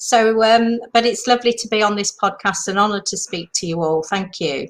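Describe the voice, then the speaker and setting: Recorded very cleanly with a silent background, a woman with a British accent speaks at a moderate pace, medium pitch and ordinary pitch variation. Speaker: retreat industry mentor. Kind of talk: interview.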